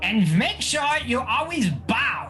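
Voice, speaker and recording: Clear background noise sits behind a man doing a put-on character voice. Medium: actual play. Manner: imperious, commanding.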